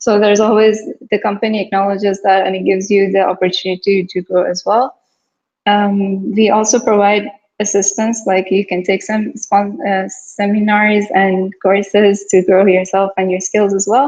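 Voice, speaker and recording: A woman speaks at a moderate pace in a monotone, flat intonation. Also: medium pitch for a woman. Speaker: software team lead presenting company. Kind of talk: company informational presentation. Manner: shaky voice when talking long; casual, hesitant with fillers.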